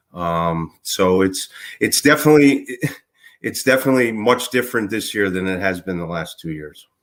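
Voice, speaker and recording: A man speaks at a moderate pace with a fairly low pitch and lively intonation. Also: very clean recording, silent background. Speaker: sports coach, radio show guest.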